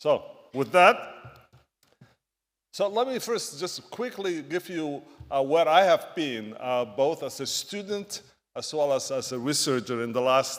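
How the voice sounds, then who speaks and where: A man with an East African accent at a fairly slow pace, with very wide pitch swings and long, frequent pauses. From Somalia. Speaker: physician and medical researcher. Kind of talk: conference talk. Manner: halting.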